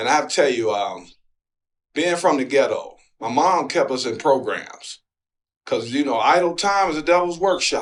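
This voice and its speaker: In an American accent, a man with an ordinary speaking voice talks at a moderate pace with lively intonation. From Detroit, Michigan. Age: 60s. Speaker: former professional basketball player. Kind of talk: interview answer.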